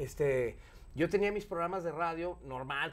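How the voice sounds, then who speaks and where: The speaker talks at a moderate pace with a Mexican accent. Their intonation is lively. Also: man. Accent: Mexican Spanish (Jalisco). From Mexico, Guadalajara; Jalisco, Mexico. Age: 50s. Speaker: radio and TV presenter; interview guest, radio host. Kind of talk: casual interview chat; interview answer. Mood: relaxed, jovial storytelling. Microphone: lapel.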